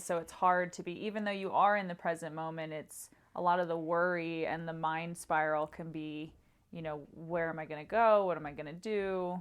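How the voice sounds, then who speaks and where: With fairly even intonation, a woman talks at a moderate pace in an ordinary speaking voice. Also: fairly low pitch for a woman. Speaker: podcast host. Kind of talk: podcast interview questions.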